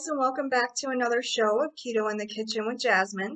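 The woman's voice comes through with little behind it but a quiet background. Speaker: cooking show host. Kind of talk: tutorial. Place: kitchen. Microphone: webcam.

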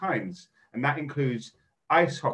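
The background stays quiet. A man talks with a somewhat breathy voice. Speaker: event host. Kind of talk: event introduction. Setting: video call. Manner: halting, filler-heavy. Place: home room. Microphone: video call.

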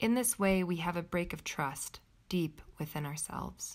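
Here a woman talks in a normal speaking voice at a fairly low pitch and a fairly slow pace, with ordinary pitch variation. The recording is very clean, with a silent background. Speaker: meditation teacher. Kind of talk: guided meditation. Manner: slow, calm, soothing.

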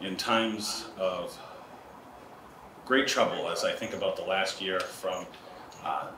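A man talks very slowly while noticeable background noise carries on. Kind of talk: prayer. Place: hall. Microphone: podium.

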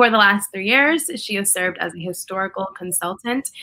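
Speaking with a New York accent, a woman has a medium pitch and a bright, sharp tone. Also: quiet background. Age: 20s. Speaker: activist and public speaker. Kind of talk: casual conversation. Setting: video call. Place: home room. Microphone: webcam.

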